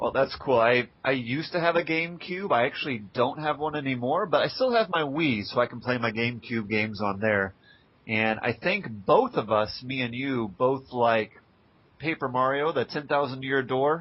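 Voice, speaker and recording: This man has a normal speaking voice at a medium pitch, with ordinary pitch variation and a moderate pace. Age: 20s. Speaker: blogger interviewing a retro gamer. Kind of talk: casual interview.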